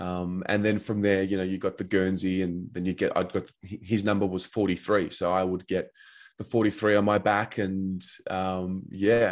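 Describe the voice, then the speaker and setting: A man with an Australian accent, very deep and low in pitch, flat and monotone, at a moderate pace over a quiet background. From Australia, Melbourne. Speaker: football fan and podcaster. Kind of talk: podcast interview. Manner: hesitant, many fillers.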